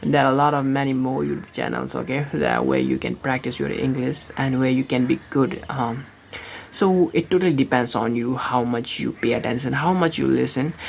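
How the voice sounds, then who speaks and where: A woman talks fairly quickly, and noticeable background noise can be heard. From Nepal, born in India. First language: Nepali. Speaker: vlogger. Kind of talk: casual vlog monologue. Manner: halting, many fillers and restarts.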